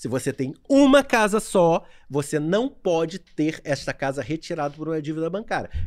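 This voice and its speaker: A man with an unremarkable speaking voice, fairly high in pitch, with lively intonation at a moderate pace, on a very clean recording with a silent background. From Niterói and São Gonçalo, Rio de Janeiro state, Brazil. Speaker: lawyer. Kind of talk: casual chat. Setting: video livestream.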